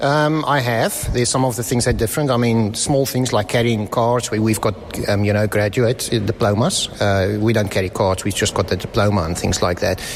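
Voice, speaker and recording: A fairly quick South African accent with ordinary pitch variation, very even loudness, hardly any pauses, and music in the background. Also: man, medium pitch for a man. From South Africa, Johannesburg. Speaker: visiting Freemason. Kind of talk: casual interview. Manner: hesitant, many fillers.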